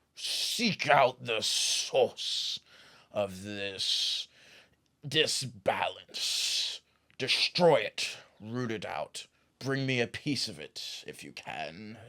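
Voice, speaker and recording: At a very slow pace, a man speaks in a put-on character voice. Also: medium pitch for a man. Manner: slow, commanding.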